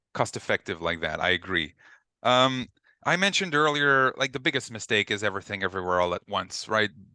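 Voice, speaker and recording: A man with a French Canadian accent speaks at a fairly quick pace in a bright, sharp tone at a medium pitch. The sound is dry and close with no echo, against a quiet background. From Quebec. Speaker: ecommerce consultant. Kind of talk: webinar panel talk.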